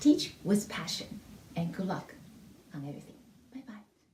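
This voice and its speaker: Her pace is moderate throughout. This woman speaks with a non-native accent. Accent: heavy non-native. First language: not English (English is third language). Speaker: music teacher. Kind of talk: testimonial. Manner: halting.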